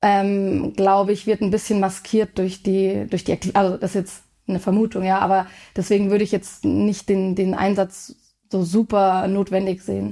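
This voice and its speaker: A woman's flat, monotone delivery in a dark, mellow tone on a very clean recording with a silent background. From Germany, Munich. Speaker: sports nutritionist. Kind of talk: casual interview.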